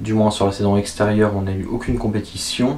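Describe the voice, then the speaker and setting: Fairly quick, fairly low-pitched speech from a man amid noticeable background noise. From France, Vienne area (Poitou). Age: 20s. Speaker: archer and student. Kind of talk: self-interview answering written questions. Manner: hesitant, with fillers and repetitions.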